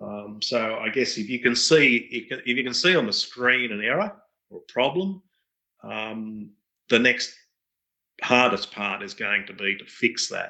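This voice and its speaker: At a fairly slow pace, a man with an Australian accent speaks in a bright, sharp tone at medium pitch, with ordinary pitch variation and big swings in loudness. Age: 50s. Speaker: radio control pattern pilot and parts business owner. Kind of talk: casual interview. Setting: call.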